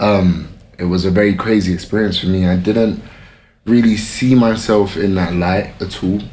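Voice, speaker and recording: A man's fairly low voice in a London accent, with audible room echo. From London, England. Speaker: fashion model. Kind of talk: casual interview chat.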